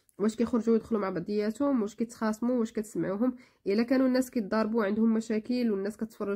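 A woman with a Moroccan accent has a dark, mellow, somewhat breathy tone. Her intonation stays fairly even. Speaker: video blogger. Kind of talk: tutorial.

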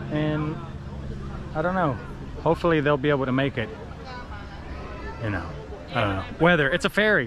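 Crowd noise fills the background of this dry recording with no echo. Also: man. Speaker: travel vlogger. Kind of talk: casual vlog chat. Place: garden. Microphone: phone near.

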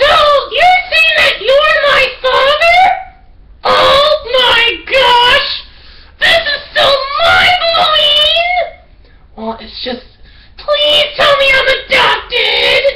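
Shouting from a man in a put-on character voice, pitched extremely high, at a very slow pace with long, frequent pauses. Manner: sarcastic, excitable.

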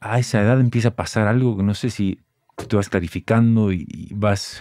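A man's fairly low voice, dry with no echo, over a quiet background. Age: 30s. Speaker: podcast host. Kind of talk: casual chat. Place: studio. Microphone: studio mic.

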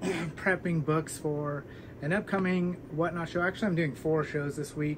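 With noticeable background noise behind him, a man talks at a moderate pace and with fairly even intonation. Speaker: book channel host. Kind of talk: casual vlog chat. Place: home room. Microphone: camera far.

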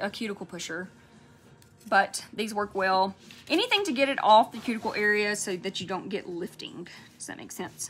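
A woman speaks at a medium pitch and a moderate pace. Her loudness swings widely, with faint music in the background. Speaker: nail polish livestream host. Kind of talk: casual live chat while swatching nail polish. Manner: chatty, relaxed. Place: shop. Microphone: phone near.

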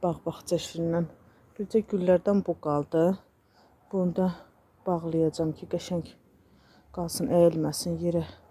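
Taking long, frequent pauses, a woman speaks fairly slowly in a fairly low pitch, her dark, mellow tone carrying fairly even intonation and big swings in loudness. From Azerbaijan. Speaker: home and cooking vlogger. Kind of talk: vlog narration. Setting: outdoors in a garden.

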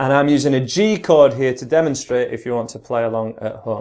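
The background stays quiet. A male voice with lively intonation moves at a moderate pace. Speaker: guitar teacher. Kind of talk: tutorial.

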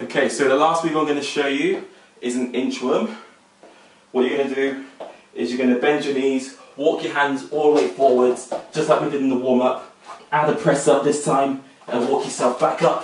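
A man with fairly even intonation, light background noise and audible room echo. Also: moderate pace. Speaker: fitness instructor. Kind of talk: tutorial. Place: home room. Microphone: camera far.

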